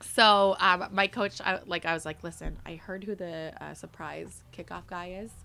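Music plays in the background as someone with a Canadian accent speaks at a moderate pace. The loudness swings widely. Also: woman, medium pitch for a woman. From Mississauga, Ontario, Canada. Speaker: sports in-game host. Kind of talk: casual chat. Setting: studio. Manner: animated.

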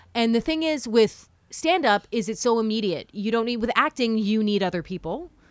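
A woman with a normal speaking voice, fairly high in pitch, at a moderate pace with lively intonation. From Ottawa, Canada. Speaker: radio talk show host and comedian. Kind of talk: casual interview chat.

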